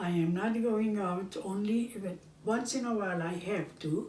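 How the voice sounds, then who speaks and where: Somewhat breathy and dark, mellow in tone, a woman speaks at a fairly slow pace with ordinary pitch variation and audible room echo. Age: 90s. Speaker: home cooking show host. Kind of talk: casual chat. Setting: at home, filmed by her son. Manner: halting.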